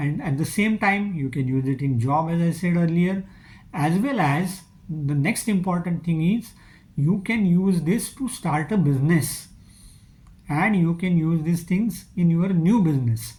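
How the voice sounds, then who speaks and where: Keeping a very even loudness, a high-pitched man with a Marathi accent speaks at a fairly slow pace with ordinary pitch variation. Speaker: online skills trainer. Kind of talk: channel introduction talk. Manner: hesitant with filler uh.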